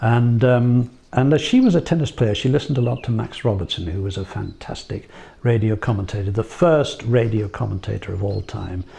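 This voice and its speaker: A somewhat breathy man's voice, dark and mellow in tone, medium in pitch, with ordinary pitch variation and a fairly quick pace. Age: 70s. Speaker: broadcaster. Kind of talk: interview monologue. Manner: hesitant, with fillers.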